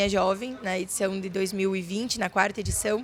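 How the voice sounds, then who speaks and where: A woman with a southern Brazilian accent talks at a fairly quick pace. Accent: gaúcho Brazilian Portuguese. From Rio Grande do Sul countryside, Brazil. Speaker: farmer and young agribusiness leader. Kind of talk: interview. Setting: fair stand.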